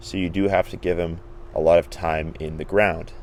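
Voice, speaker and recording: A man speaks at a fairly quick pace. His is a normal speaking voice. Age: 20s. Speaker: gardening youtuber. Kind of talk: garden tour tutorial. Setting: outdoors in garden.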